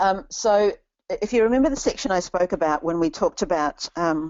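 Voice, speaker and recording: A medium-pitched woman with a New Zealand accent at a moderate pace. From New Zealand, Christchurch. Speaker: career coach. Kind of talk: webinar Q&A.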